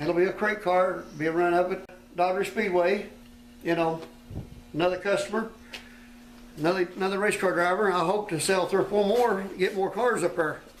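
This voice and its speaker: Flat, monotone delivery in an American accent, fairly quick yet broken by long, frequent pauses, very even in loudness, with audible room echo and noticeable background noise. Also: man, high pitch for a man. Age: 60s. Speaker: race car builder and driver. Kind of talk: casual interview during shop tour. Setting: workshop tour.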